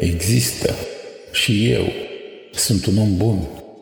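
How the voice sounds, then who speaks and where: The speaker is a man with a very deep, low voice. Background noise is noticeable. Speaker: poet. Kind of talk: poetry reading, spoken word.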